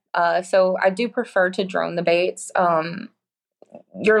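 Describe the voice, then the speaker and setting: Spoken in a Texas accent, the delivery is monotone and flat. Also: woman. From Texas, Corpus Christi. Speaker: surf fishing guide. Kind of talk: casual interview chat.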